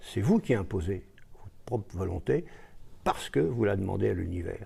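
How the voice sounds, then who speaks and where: A man speaks at a fairly low pitch in a dark, mellow tone with vocal fry. His pace is moderate. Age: 80s+. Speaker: author and lecturer. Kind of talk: interview. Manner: hesitant.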